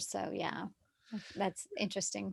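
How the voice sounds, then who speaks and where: A medium-pitched woman with a Southern US accent on a very clean recording with a silent background. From US South, Texarkana. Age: 50s. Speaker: yoga therapist. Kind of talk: casual chat.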